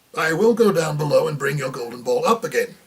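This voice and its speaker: A man does a put-on character voice at a very fast pace. It is fairly high-pitched, squeaky and croaky. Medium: read story.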